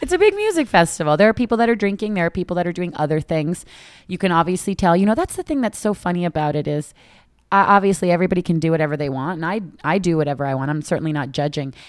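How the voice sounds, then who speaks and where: Very fast speech from a woman at a fairly low pitch with ordinary pitch variation, on a very clean recording with a silent background. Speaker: podcast co-host. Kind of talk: casual chat. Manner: casual, chatty.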